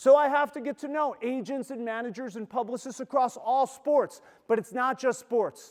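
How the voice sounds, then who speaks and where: Extremely high-pitched, a man's voice sounds animated and enthusiastic, with big swings in loudness. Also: quiet background. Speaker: sports agent and school assembly speaker. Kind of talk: motivational talk to students. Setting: stage at school assembly with audience. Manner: fast; animated, enthusiastic.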